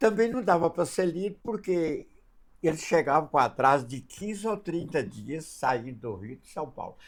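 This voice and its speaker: In a very clean recording with a silent background, a man talks at a fairly high pitch with very wide pitch swings. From northern Minas Gerais, Brazil. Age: 90s. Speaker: spiritist elder. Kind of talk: interview storytelling; blessing message. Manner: halting.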